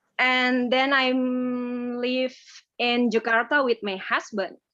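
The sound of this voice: The pitch barely moves, and the slow pace carries a bright, sharp tone. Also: woman, fairly high pitch for a woman.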